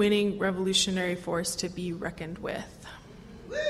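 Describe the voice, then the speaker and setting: Over light background noise, a woman with a medium pitch speaks at a fairly quick pace. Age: 20s. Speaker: activist panel speaker. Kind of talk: convention panel talk. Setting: convention hall with audience. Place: hall. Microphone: podium.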